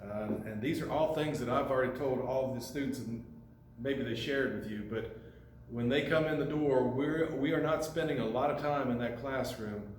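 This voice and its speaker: A man talks at a moderate pace in a medium pitch with ordinary pitch variation. Audible room echo and noticeable background noise fill the recording. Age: 60s. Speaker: carpentry instructor. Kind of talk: informal address to parents. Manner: casual, with fillers.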